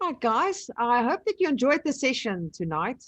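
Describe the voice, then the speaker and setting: A woman with a South African accent, dry and close with no echo, over a quiet background. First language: Afrikaans. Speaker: online business trainer. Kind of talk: live webinar tutorial. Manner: casual.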